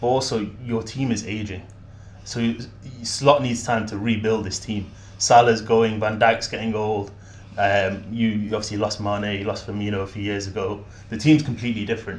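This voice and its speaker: A man speaks with a Mancunian accent in a fairly low, somewhat breathy voice. His intonation is flat and monotone at a moderate pace, with audible room echo. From Manchester, England. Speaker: football fan guest. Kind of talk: casual chat.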